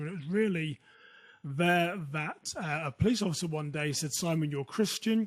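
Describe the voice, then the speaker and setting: In a very clean recording with a silent background, a man with a British accent speaks at a moderate pace, sounding somewhat breathy. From United Kingdom. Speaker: security consultant. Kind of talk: interview.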